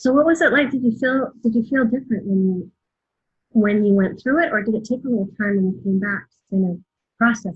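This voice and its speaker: A woman's fairly high, somewhat breathy voice at a fairly quick pace, with lively intonation and big swings in loudness. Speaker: podcast host. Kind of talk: interview questions, casual conversation.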